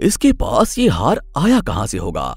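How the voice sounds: Putting on a character voice, a man speaks at a medium pitch and a fairly slow pace, with vocal fry and very wide pitch swings.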